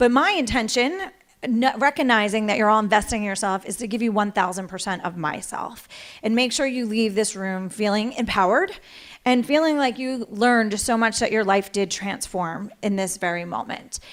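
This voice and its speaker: This is a woman speaking at a fairly high pitch. Her pitch varies in an ordinary way. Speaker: motivational speaker. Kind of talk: keynote talk. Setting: stage with audience. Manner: fast.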